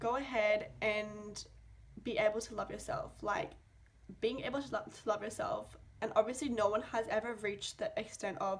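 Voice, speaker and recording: Vocal fry runs through this woman's voice. She uses ordinary pitch variation. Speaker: vlogger. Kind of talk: casual rant to camera. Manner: animated, filler-heavy.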